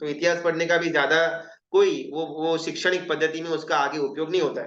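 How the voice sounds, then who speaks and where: There is audible room echo as a man with a Gujarati accent speaks at a high pitch and a moderate pace. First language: Gujarati (speaking Hindi). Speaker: Jain religious teacher. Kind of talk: lecture. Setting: live Zoom class. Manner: conversational, with hesitations and self-corrections.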